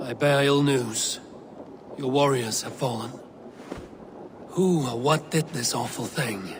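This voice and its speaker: A man's raspy put-on character voice, medium in pitch and calm in tone, at a fairly slow pace with long, frequent pauses and clear background noise. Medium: video game. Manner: calm, terse.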